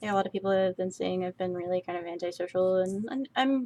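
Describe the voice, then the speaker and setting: At a fairly quick pace, a woman speaks in a medium pitch with a dark, mellow tone and ordinary pitch variation. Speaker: artist streaming a drawing session. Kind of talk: casual chat while drawing. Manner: soft-spoken; halting.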